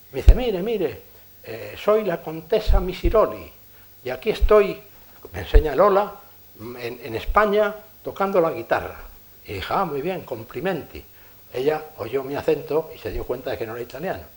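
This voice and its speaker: A man with a high pitch talks at a moderate pace, his pitch swinging very widely and his loudness shifting in big swings. Long, frequent pauses break up his speech over noticeable background noise. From Spain. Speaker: engineer giving a lecture. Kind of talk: lecture with anecdotes.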